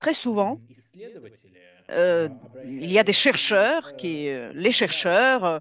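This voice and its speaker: Her pitch is medium, but it swings very widely. The woman speaks at a very slow pace with long, frequent pauses. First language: Russian (speaking French). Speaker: Arctic researcher and speaker at an exhibition. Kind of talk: Q&A answer at an exhibition opening. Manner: halting, many hesitations.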